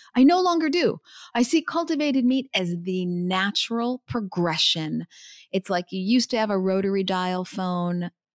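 In a very clean recording with a silent background and a dry, close sound with no echo, a woman with an ordinary speaking voice talks at a moderate pace, her medium pitch carrying lively intonation. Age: 50s. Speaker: CEO of a plant-based investment firm. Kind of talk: interview.

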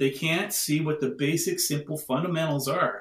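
The man's voice is fairly high and somewhat breathy. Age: 50s. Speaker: crystal device maker and spiritual practitioner. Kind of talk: casual interview.

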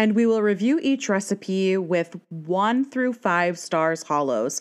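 At a fairly slow pace, a woman uses a normal speaking voice of medium pitch with lively intonation against a quiet background. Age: 30s. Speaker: podcast co-host. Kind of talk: casual chat.

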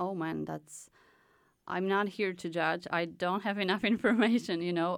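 On a very clean recording with a silent background, a woman speaks with a Polish accent in a fairly low pitch. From Poland. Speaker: artist in residence. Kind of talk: casual interview chat. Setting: studio.

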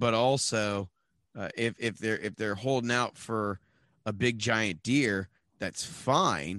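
Here is a normal speaking voice from a man at a fairly low pitch, with fairly even intonation. The sound is dry and close with no echo, over a quiet background. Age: 30s. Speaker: hunting podcast co-host. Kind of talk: casual chat.

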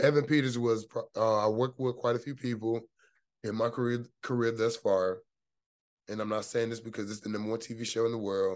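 Over a quiet background, a man with a plain, everyday voice talks fairly quickly at a medium pitch and with fairly even intonation. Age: 30s. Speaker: actor. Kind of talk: casual chat.

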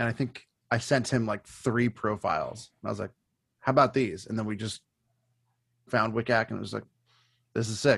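Over a quiet background, a man of medium pitch talks at a moderate pace with fairly even intonation and long, frequent pauses, in a dry, close sound with no echo. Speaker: band member. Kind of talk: casual chat. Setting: video call.

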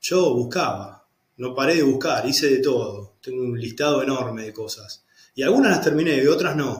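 The speaker is a man with a medium-pitched, somewhat breathy voice. He talks at a moderate pace. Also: ordinary pitch variation. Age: 40s. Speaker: lawyer turned architecture student. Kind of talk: interview testimony.

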